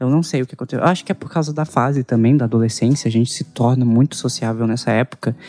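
A man with a dark, mellow tone talks at a very fast pace and a medium pitch, with ordinary pitch variation and hardly any pauses. The recording is very clean, with a silent background and a dry, close sound with no echo. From Anápolis, Goiás, Brazil. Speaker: podcast co-host. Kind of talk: casual podcast chat.

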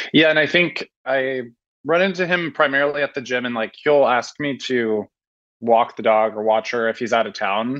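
An ordinary speaking voice comes from a man with an American accent and medium pitch. He keeps a moderate pace and ordinary pitch variation against a quiet background. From Portland, Oregon. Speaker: caller. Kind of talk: advice call. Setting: video call.

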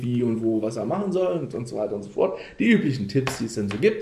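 A man at a medium pitch and fairly quick pace, with audible room echo and noticeable background noise. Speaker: podcast host. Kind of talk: casual chat.

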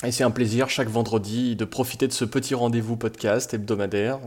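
A man's medium-pitched voice, monotone, flat intonation, fairly quick pace and hardly any pauses. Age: 20s. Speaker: listener. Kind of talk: voicemail message.

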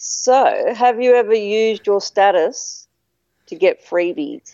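With an Australian accent, a woman speaks at a very slow pace. Her pitch is fairly high and her intonation lively. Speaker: podcast listener interviewing the host. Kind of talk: casual interview chat. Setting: video call across countries.

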